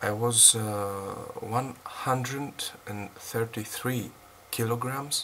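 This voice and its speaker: A man with a Greek accent speaks very slowly and with fairly even intonation. There is noticeable background noise. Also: medium pitch for a man. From Greece. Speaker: fitness vlogger. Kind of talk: casual vlog unboxing. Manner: halting, many fillers.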